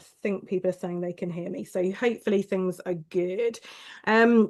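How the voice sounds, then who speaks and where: A woman with a southern English accent, medium pitch, fairly even intonation and a moderate pace. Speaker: quilting teacher. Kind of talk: live online class welcome. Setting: livestream. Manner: hesitant, many fillers.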